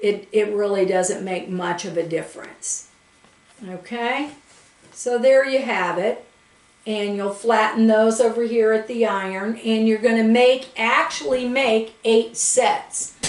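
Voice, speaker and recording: Noticeable background noise sits behind a woman with a fairly high pitch. She speaks at a fairly slow pace with ordinary pitch variation. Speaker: quilting instructor. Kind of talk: tutorial. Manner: casual, conversational.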